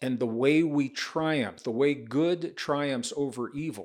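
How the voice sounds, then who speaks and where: In a Midwestern American accent, a man speaks at a very slow pace with a medium pitch and ordinary pitch variation, recorded very cleanly against a silent background. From US Midwest, rural northern Missouri. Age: 70s. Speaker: author and speaker on science and spirituality. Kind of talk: podcast interview.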